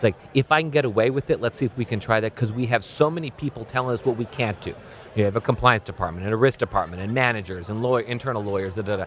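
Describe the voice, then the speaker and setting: A man speaks very fast with a medium pitch and ordinary pitch variation while noticeable background noise plays. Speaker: banking ethics speaker. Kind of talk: interview.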